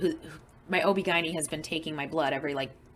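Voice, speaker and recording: This woman has a plain, everyday voice, pitched fairly low. Her intonation stays fairly even. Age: 40s. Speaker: support group organizer with blood disorder. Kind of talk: group video call discussion. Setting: group call. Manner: casual, filler-heavy.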